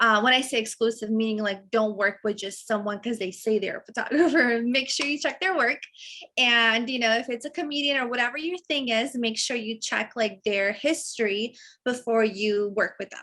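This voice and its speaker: Speaking at a moderate pace, a woman uses a fairly high pitch and a bright, sharp tone with ordinary pitch variation. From Serbia. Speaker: model and actress. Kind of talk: interview. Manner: casual, many fillers.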